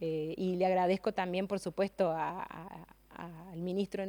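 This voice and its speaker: A woman talks at a moderate pace in a flat monotone. The sound is dry and close, with no echo. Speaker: gerontology specialist and government advisor. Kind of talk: radio interview. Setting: radio auditorium studio. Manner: hesitant, many fillers.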